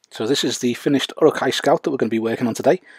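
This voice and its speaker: Vocal fry marks this man's medium-pitched voice. He talks at a very fast pace. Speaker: miniature painter. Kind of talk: painting tutorial narration.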